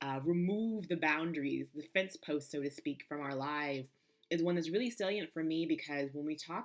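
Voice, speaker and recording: Her voice is very deep and low in pitch, with ordinary pitch variation. The woman talks at a fairly quick pace. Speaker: impact consultant and lawyer. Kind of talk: casual talk-to-camera video.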